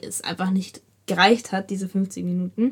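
A woman talks in a flat, monotone intonation. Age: young. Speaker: podcast host, dancer. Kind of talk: casual chat.

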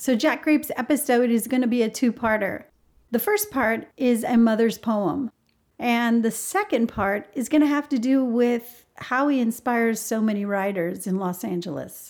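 An unremarkable speaking voice, a woman's, fairly high-pitched, moderately paced and with ordinary pitch variation. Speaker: life coach and podcast co-host. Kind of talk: podcast interview.

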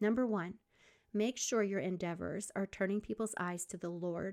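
The recording is very clean with a silent background. At a moderate pace, a normal speaking voice carries ordinary pitch variation. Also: woman. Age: 50s. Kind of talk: faith-based podcast monologue. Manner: warm, encouraging.

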